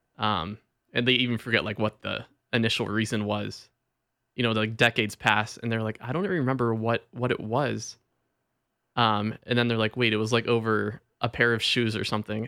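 A man speaks at a fairly quick pace and medium pitch, with fairly even intonation and a bright, sharp tone. The sound is dry and close with no echo, in a very clean recording with a silent background. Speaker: audio theater reader. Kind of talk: casual chat.

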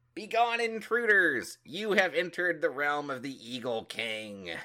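In a put-on character voice, a man bellows at a high pitch with very wide pitch swings and a moderate pace, on a very clean recording with a silent background. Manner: bellowing, commanding.

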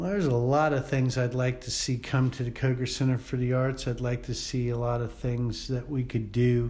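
A man with an American accent talks at a moderate pace with hardly any pauses, his medium-pitched voice somewhat breathy. His tone is dark and mellow, and his intonation stays fairly even. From Columbia, South Carolina, US South. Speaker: theater technical director. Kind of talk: interview.

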